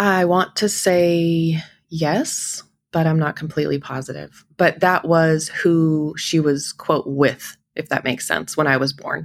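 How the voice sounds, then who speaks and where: A woman with an American accent speaks fairly slowly in a very deep, low pitch, her intonation fairly even. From Idaho, small town. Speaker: podcast guest sharing life story. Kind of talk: personal testimony.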